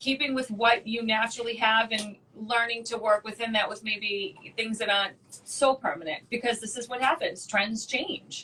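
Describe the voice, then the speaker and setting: With a Boston accent, a woman speaks at a moderate pace and a fairly high pitch, her tone bright and sharp with ordinary pitch variation. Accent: thick Boston. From Boston, Massachusetts. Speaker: wax educator and esthetician. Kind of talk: casual interview chat.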